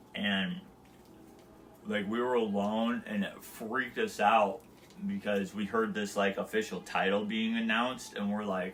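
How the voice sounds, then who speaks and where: A man mumbles at a very slow pace. His pitch is fairly low and his intonation fairly even. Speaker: live streamer. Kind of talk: casual monologue. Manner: mumbling.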